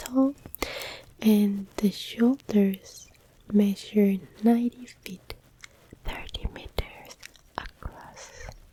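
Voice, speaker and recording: A soft-spoken whisper with a non-native accent. Noticeable background noise runs under it. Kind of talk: ASMR fact reading, soft spoken. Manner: soft-spoken, whispered.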